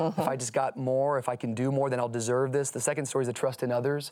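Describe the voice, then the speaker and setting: A man with a medium pitch speaks with fairly even intonation. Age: 30s. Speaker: pastor. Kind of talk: casual chat.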